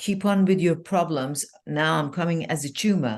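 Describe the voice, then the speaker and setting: Here a woman with a fairly low pitch speaks at a moderate pace. Her pitch varies in an ordinary way against a quiet background. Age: 60s. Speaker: life coach. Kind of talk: podcast interview. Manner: animated.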